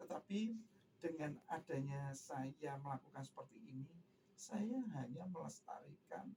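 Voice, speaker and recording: A man's fairly high, somewhat breathy voice with a dark, mellow tone, at a fairly slow pace. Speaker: singer, tribute performer. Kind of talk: radio interview.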